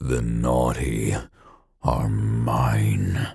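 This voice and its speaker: A man's put-on character voice, very deep and low in pitch, growling and hissing with fairly even intonation. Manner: hissing, menacing.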